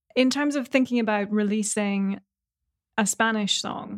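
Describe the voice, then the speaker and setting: In a very clean recording with a silent background, a woman with an American accent uses an ordinary speaking voice at medium pitch with fairly even intonation, the sound dry and close with no echo. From New York City. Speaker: podcast host, musician. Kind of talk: interview. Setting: virtual interview.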